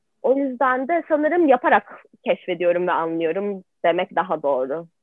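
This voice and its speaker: This woman's voice has very wide pitch swings and big swings in loudness. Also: medium pitch for a woman, moderate pace. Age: 20s. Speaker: art student. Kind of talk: interview.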